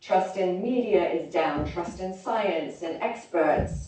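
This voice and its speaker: A woman with a British accent speaks at a fairly slow pace amid noticeable background noise and audible room echo. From London, England (born in Oklahoma, moved as small child). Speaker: health consultant and speaker. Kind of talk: conference talk.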